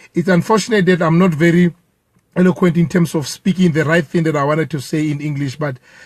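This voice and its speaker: Using ordinary pitch variation, a man with a Lesotho accent speaks at a fairly high pitch. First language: Sesotho. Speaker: protester. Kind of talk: impromptu statement. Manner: halting.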